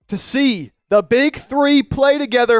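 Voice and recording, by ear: Speaking slowly, a man with an extremely high pitch is heard in a dry, close sound with no echo.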